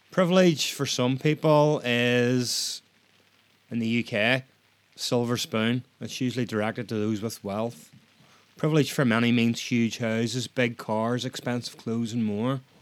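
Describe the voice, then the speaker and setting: At a fairly slow pace, a man in a Northern Irish accent speaks with a medium pitch and fairly even intonation. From Northern Ireland. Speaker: podcast host. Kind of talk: solo podcast monologue.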